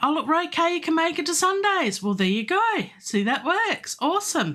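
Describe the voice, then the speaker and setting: Against a quiet background, a woman with an Australian accent speaks in a bright, sharp tone, her pitch swinging very widely. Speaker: composer and classical singer; livestream host. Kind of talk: live stream chat. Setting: home studio. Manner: animated. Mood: friendly, upbeat. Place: home room.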